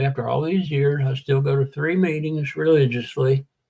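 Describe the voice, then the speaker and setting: A man speaks at a moderate pace with a Southern US accent. His voice is somewhat breathy. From US South, Tennessee (Chattanooga). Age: 70s. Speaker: war veteran in recovery. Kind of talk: interview testimony.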